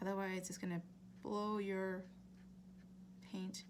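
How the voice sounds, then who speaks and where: A woman talks in a monotone, flat intonation, with noticeable background noise and audible room echo. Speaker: art instructor. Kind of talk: tutorial. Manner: casual, with many fillers and restarts; fairly quick.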